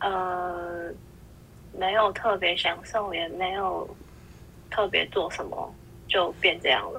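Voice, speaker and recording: Speaking at a very slow pace with long, frequent pauses, a woman uses a medium pitch, flat monotone intonation and vocal fry. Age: 20s. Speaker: podcast guest. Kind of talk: casual chat.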